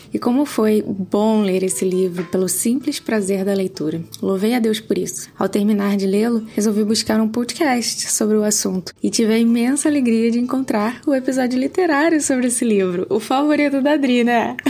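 Over noticeable background noise, a woman with a fairly high pitch talks at a moderate pace, with very even loudness and hardly any pauses. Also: ordinary pitch variation. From Pernambuco, Brazil. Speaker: podcast listener. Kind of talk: recorded listener testimonial.

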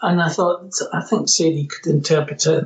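A man speaks with a Scottish accent. His pitch is fairly high, and his pace is moderate. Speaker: musician. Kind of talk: interview.

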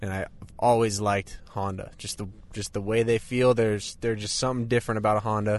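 At a very fast pace, a man with a fairly low pitch speaks in a monotone, flat intonation. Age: 20s. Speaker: pro motocross racer. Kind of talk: casual chat. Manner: hesitant, many fillers.

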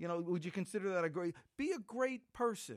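A man speaks at a moderate pace. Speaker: sales trainer and author. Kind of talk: casual interview chat.

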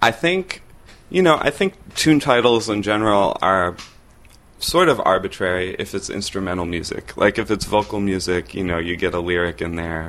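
A man with an American accent talks in an unremarkable speaking voice, fairly low in pitch with ordinary pitch variation. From US Northeast, Rochester, New York. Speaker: jazz bassist and composer. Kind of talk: interview.

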